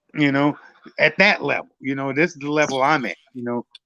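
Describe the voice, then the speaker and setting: The sound is dry and close with no echo as a man with an American accent talks at a fairly quick pace, his fairly high pitch held in fairly even intonation. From United States. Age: 60s. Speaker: caller in live stream discussion. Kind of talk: casual discussion. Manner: halting, many fillers.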